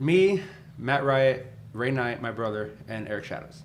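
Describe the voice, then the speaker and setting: A man's voice with audible room echo. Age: 20s. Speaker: professional wrestler and podcast host. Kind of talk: casual chat.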